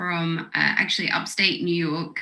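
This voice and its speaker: Speaking at a fairly slow pace, a woman with a British accent has a bright, sharp tone. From Britain. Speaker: record label executive. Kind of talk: panel interview. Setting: video call.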